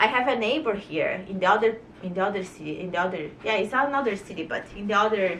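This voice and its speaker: With a Brazilian accent and ordinary pitch variation, a woman speaks over noticeable background noise in a room with audible echo. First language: Portuguese. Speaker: vlogger. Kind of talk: casual monologue to camera. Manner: animated.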